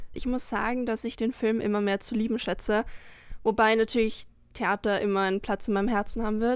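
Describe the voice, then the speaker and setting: Captured on a very clean recording with a silent background, a woman speaks at a fairly high pitch. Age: 20s. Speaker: actress. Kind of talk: interview.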